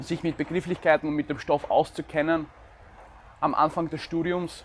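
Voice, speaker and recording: Here a man talks at a moderate pace. His fairly high voice stays monotone and flat. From Ukraine. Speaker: law student and vlogger. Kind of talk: advice talk to camera.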